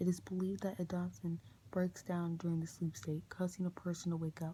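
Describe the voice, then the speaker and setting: This soft-spoken man has a dark, mellow tone and a high pitch. He talks at a fairly quick pace with fairly even intonation. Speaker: ASMR creator. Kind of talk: ASMR book reading.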